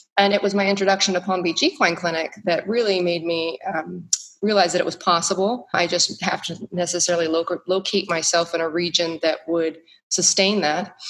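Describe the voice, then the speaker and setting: Speaking at a fairly quick pace, a woman with an American accent has an ordinary speaking voice, fairly low in pitch. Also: fairly even intonation. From US, Texas (North Dallas). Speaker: equine veterinarian. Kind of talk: interview conversation.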